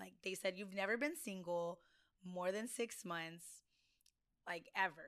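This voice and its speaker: The woman speaks fairly slowly at a medium pitch with ordinary pitch variation. She leaves long, frequent pauses. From US South, Del Rio, Texas on the Mexican border. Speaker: blogger. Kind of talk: casual chat.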